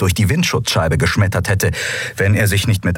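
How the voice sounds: This reading voice is natural, with intonation that stays fairly even.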